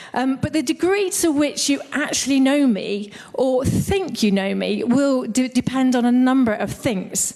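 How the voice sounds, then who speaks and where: Over noticeable background noise, a woman with a northern English accent speaks at a high pitch with lively intonation. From northern England. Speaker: church leader. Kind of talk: sermon.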